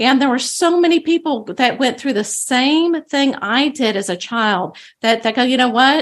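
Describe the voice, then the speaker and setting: With a Texan accent, a woman speaks fairly slowly at a high pitch with very wide pitch swings. The background is quiet. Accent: Texan American. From Texas. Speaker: psychic medium. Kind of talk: interview. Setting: studio.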